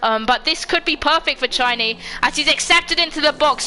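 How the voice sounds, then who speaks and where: A woman shouts in a raised, projected voice at a high pitch and a fairly quick pace. Her pitch variation is ordinary, and noticeable background noise is present. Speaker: sim racing league commentator. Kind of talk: live commentary. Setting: home livestream. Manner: loud, shouting.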